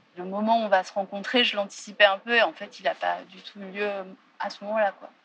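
A woman talks at a moderate pace and a medium pitch. Her intonation stays fairly even. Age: 30s. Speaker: theatre director. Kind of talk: testimony.

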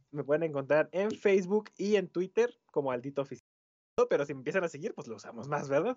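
Speaking with a Mexican accent, a man uses lively intonation. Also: big swings in loudness. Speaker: podcast co-host. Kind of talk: casual chat.

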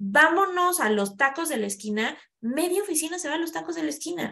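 Bright and sharp in tone, a woman's voice moves with lively intonation. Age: 40s. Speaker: human resources specialist. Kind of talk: interview conversation.

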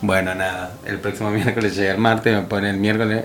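A man with a fairly low pitch, a very fast pace, noticeable background noise and audible room echo. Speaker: radio host. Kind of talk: casual chat.

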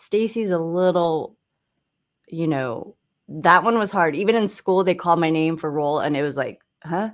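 An unremarkable speaking voice from a woman with an American accent, fairly low in pitch with ordinary variation, at a moderate pace on a very clean recording with a silent background. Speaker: songwriter and musician. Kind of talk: casual podcast chat.

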